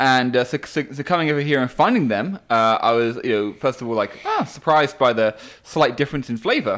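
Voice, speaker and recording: In an English accent, a man speaks fairly quickly at a medium pitch with ordinary pitch variation. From England. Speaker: podcast co-host. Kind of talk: casual chat. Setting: casual conversation while smoking cigars. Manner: hesitant, filled with pauses.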